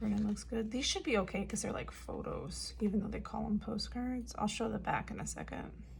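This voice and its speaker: Hardly any pauses, with noticeable background noise. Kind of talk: casual unboxing talk to camera. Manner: casual, chatty.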